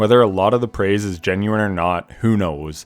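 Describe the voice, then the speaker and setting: With a plain, everyday voice, a man talks at a fairly quick pace and a fairly low pitch in a very clean recording with a silent background. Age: 30s. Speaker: gaming youtuber. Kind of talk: video game review commentary.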